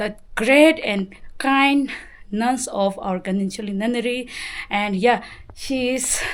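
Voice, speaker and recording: A woman's fairly high-pitched voice at a very slow pace, with long, frequent pauses. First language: Tibetan. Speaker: Buddhist nun and vlogger. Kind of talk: vlog introduction. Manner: halting, many fillers.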